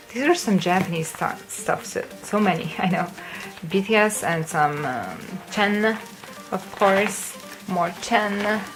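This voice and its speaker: Over music in the background, a woman talks at a very slow pace with medium pitch and ordinary pitch variation, and the room echo is audible. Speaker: kpop collector vlogger. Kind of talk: casual show-and-tell vlog. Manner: hesitant fillers, um and uh.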